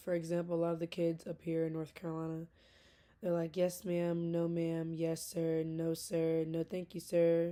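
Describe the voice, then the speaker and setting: A woman's fairly low pitch in a dark, mellow tone with monotone, flat intonation. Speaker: graduate student. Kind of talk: recorded class speech, informal monologue. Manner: passionate, intense.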